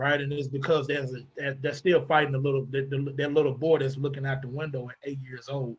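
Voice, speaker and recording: A man with a Southern US accent and a fairly high voice talks at a fairly quick pace, somewhat breathy, in a monotone, flat intonation. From US South, Arkansas. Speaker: mental health advocate. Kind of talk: panel discussion. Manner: hesitant, many fillers.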